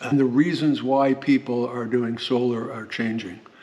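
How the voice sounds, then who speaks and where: A man at a moderate pace and medium pitch with fairly even intonation, over noticeable background noise. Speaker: solar power YouTuber. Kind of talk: technical product tutorial. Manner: long pauses, says um a lot; halting, repetitive.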